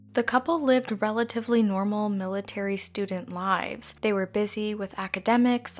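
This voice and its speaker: With a Canadian accent and a plain, everyday voice, a woman speaks at a fairly high pitch and a moderate pace, with fairly even intonation and hardly any pauses. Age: 20s. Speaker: true crime podcaster. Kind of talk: scripted narration.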